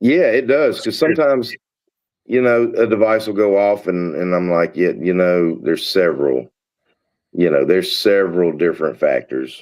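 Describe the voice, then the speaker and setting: With a Southern US accent, a man speaks at a fairly low pitch that swings very widely. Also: moderate pace. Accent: Southern US (Georgia). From US South (Georgia). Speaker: paranormal investigator. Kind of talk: casual chat.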